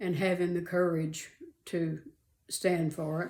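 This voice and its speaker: A woman talks at a very slow pace. Her fairly low voice has a dark, mellow tone. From Arizona, USA. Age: 80s+. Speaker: retired mother and grandmother. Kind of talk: interview answer.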